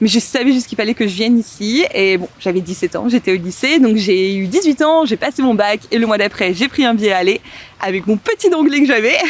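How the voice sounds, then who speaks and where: A woman talks at a fairly quick clip, her fairly high voice moving in a lively melody. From southern France (Montpellier). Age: 20s. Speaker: wedding planner. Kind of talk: casual podcast interview. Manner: hesitant, many fillers.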